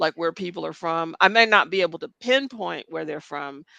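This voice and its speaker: A woman with an American accent speaks at a moderate pace in a fairly low pitch, her tone bright and sharp. The sound is dry and close with no echo, over a quiet background. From United States. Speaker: podcast co-host. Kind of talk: casual chat.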